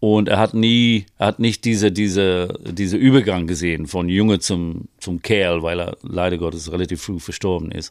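A man with an English accent, very deep and low in pitch, at a moderate pace, in a very clean recording with a silent background. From northeast England. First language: English (speaking German). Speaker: vocal coach and singer-songwriter. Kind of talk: casual interview. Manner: halting, many fillers.

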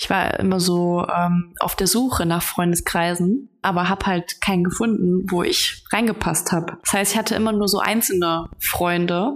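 With fairly even intonation and medium pitch, a woman delivers her words at a moderate pace. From western Germany, North Rhine-Westphalia (Remscheid area). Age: 30s. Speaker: guest expert, former nurse. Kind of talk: casual interview chat.

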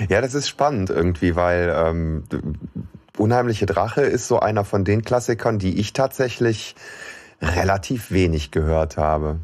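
In an unremarkable speaking voice, a man talks at a moderate pace with fairly low pitch, lively intonation and very even loudness. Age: middle-aged. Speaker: podcast co-host. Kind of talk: casual chat.

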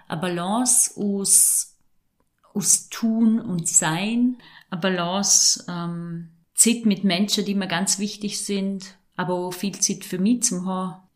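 A woman with a Vorarlberg accent speaks at a very slow pace and medium pitch. Her voice is somewhat breathy and her intonation fairly even. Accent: Vorarlberg dialect (Alemannic). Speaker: mental trainer and breathing therapist. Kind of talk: casual chat.

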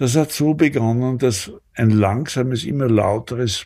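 A man speaks at a fairly slow pace in a dark, mellow tone with ordinary pitch variation, on a very clean recording with a silent background. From Austria, Graz (Styria). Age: 80s+. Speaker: retired surgeon and crime novelist, war witness. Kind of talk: interview, personal recollection.

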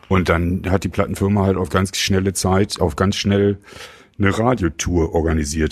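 The man's voice is very deep and low. His intonation remains fairly even. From Germany. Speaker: rock musician. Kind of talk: casual chat. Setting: studio.

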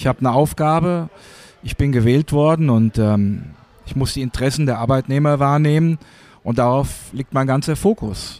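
The sound is dry and close with no echo as a man with a fairly high pitch speaks at a moderate pace. He uses ordinary pitch variation and long, frequent pauses. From Hesse, Germany. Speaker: works council chairman. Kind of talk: interview. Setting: café.

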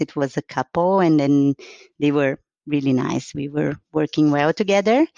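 Speaking with a Portuguese accent, a woman has a very deep, low pitch. She talks at a moderate pace with ordinary pitch variation. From Brazil, São Paulo. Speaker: car designer. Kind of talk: interview. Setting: at home.

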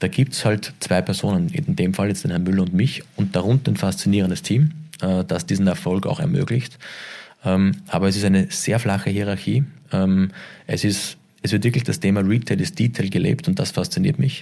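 With a dark, mellow tone and fairly low pitch, a man talks at a moderate pace using lively intonation. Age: 40s. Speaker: retail executive. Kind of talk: interview. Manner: halting.

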